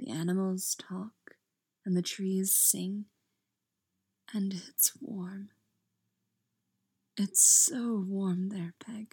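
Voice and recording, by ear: A woman's put-on character voice, medium in pitch, dark and mellow with a slightly husky edge, very slow and fairly even in intonation, broken by long, frequent pauses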